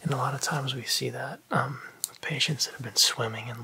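Soft-spoken and calm in tone, a man talks at a moderate pace with fairly even intonation over light background noise. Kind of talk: roleplay medical exam talk. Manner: soft-spoken, close and calm ASMR voice. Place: home room.

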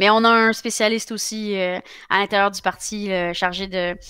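Her tone is bright and sharp, and a woman speaks at a fairly slow pace and a fairly high pitch with monotone, flat intonation. The background is quiet and the sound is dry with no echo. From Quebec. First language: Spanish (speaking French). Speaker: politician; politician interviewee. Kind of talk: interview. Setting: live broadcast. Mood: calm, friendly. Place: home room. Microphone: headset.

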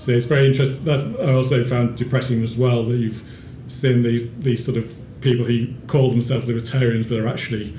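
A man talks at a fairly quick pace with monotone, flat intonation. Light background noise and audible room echo surround his voice. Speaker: speaker. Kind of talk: talk to a small audience. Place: hall. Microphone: podium.

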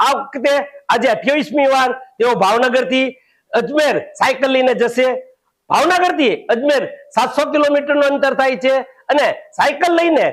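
The man's voice is extremely high, with ordinary pitch variation and very even loudness. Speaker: former city councillor. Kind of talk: statement to news camera.

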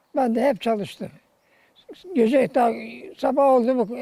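A man talks at a moderate pace in an extremely high pitch with ordinary pitch variation. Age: 80s+. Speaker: retired villager. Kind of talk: interview answer.

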